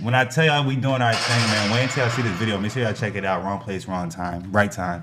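Talking at a very fast pace, a man with an American accent has a fairly low pitch with ordinary variation, and noticeable background noise is present. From New Jersey (Lawrenceville/Trenton area). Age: 30s. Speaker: photographer. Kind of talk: casual chat.

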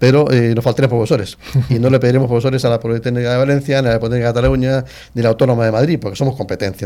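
Talking at a very fast pace, a man uses a medium pitch, fairly even intonation, and a dark, mellow tone. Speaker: cryptography professor. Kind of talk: interview.

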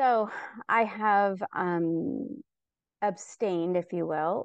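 This woman has an unremarkable speaking voice at a medium pitch, captured dry and close with no echo. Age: 50s. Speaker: coaching client. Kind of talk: live coaching session.

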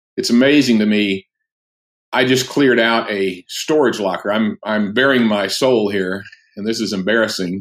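A plain, everyday voice moves along at a moderate pace. Its intonation stays fairly even. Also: man, fairly low pitch for a man. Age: 60s. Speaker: pastor and author. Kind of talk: casual interview. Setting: remote call.

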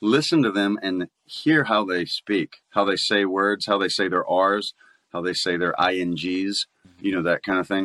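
Speaking at a fairly slow pace, a man with a fairly low pitch has a bright, sharp tone and ordinary pitch variation. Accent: Southern US. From Mississippi. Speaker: voice actor. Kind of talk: interview. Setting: video call.

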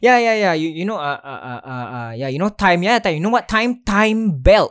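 A man with a Singaporean accent, high-pitched with very wide pitch swings, at a fairly quick pace. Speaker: podcast host. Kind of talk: casual chat. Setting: online call recording.

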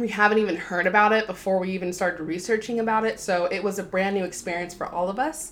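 Medium in pitch with fairly even intonation, a woman speaks in an unremarkable speaking voice. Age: 20s. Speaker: podcast host, college student. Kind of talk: casual solo podcast talk.

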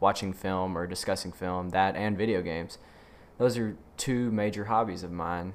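The speaker has a Southern US accent and keeps a moderate pace. Intonation stays fairly even. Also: man, very deep, low pitch for a man. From Mississippi, US South. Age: 20s. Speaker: podcast host and aspiring actor. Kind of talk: casual solo podcast intro. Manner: hesitant, many fillers and repeats.

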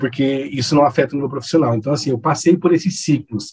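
A man's somewhat breathy, dark, mellow voice with ordinary pitch variation. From Campo Grande, Mato Grosso do Sul, Brazil. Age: 40s. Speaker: event set design business owner. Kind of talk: casual chat.

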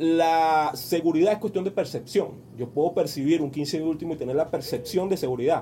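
A man with a fairly high pitch at a very fast pace, over noticeable background noise. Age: 40s. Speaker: business coach. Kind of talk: radio interview. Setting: radio studio. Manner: halting, many repetitions and fillers.

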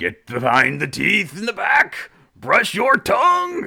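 A man puts on a high-pitched character voice and talks at a fairly unhurried pace. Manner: menacing, bossy.

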